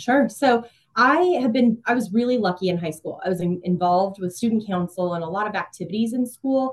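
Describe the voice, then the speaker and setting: Somewhat breathy and fairly high-pitched, a woman talks at a fairly quick pace with ordinary pitch variation in a Midwestern American accent. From Kansas, Emporia. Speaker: community relations manager. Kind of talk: interview.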